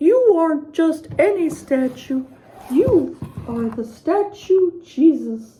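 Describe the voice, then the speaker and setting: Putting on a character voice, a woman talks very slowly in a squeaky, extremely high pitch. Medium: read story.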